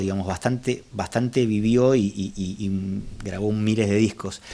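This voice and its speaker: This is a man's voice. His tone is dark and mellow. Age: 50s. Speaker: jazz enthusiast. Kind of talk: casual chat. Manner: halting.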